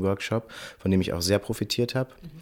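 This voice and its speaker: With a silent background on a very clean recording, a man uses a normal speaking voice, pitched fairly low and with ordinary pitch variation. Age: 30s. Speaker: choir director and beatboxer. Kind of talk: interview.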